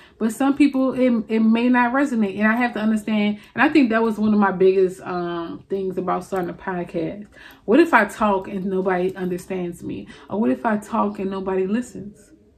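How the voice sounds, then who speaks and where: A woman with a New Orleans accent talks at a fairly quick pace. Her voice is somewhat breathy. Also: ordinary pitch variation. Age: 20s. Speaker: video blogger. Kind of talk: confessional monologue. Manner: casual, chatty. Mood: reflective, earnest. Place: home room. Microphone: studio mic.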